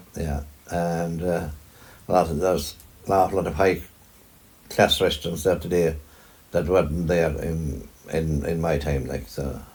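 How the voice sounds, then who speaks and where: With a Kerry accent, a man with a very deep, low pitch and vocal fry speaks at a moderate pace with fairly even intonation and long, frequent pauses. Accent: Kerry Irish. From Ireland, County Kerry. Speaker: farmer. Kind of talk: interview answer.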